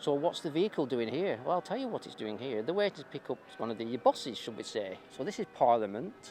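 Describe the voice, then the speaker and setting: In a northern English accent, a man at a medium pitch talks at a very fast pace with hardly any pauses. His pitch swings very widely. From northern England. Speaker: YouTuber filming a street protest. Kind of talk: vlog narration. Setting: outdoors.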